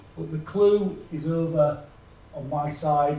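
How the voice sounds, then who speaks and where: Somewhat breathy, a man speaks at a fairly high pitch with fairly even intonation. Audible room echo surrounds his voice. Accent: northern English. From northern England. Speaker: health IT executive. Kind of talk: conference presentation. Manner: halting.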